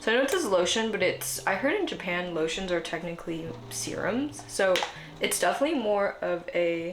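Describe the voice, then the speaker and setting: With an American accent, a woman talks at a fairly quick pace over noticeable background noise. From Korean American. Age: 20s. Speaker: lifestyle YouTuber. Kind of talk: casual talk to camera. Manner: casual, chatty.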